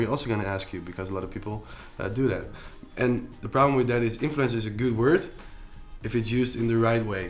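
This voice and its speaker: Over music in the background and with audible room echo, a man with a Dutch accent speaks very fast at a medium pitch with fairly even intonation. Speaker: entrepreneur and influencer. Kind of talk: interview. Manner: halting, many fillers.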